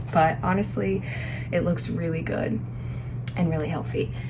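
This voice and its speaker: A woman speaks in a room with audible echo. Noticeable background noise runs underneath. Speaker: lifestyle vlogger. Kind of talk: casual vlog talk to camera. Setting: at home in apartment. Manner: whispering at times.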